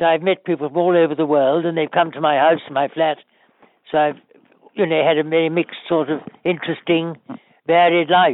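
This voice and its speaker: Speaking with a British accent at a fairly quick pace, the voice breaks into long, frequent pauses. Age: 80s+. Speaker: retiree who got the vaccine. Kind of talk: interview.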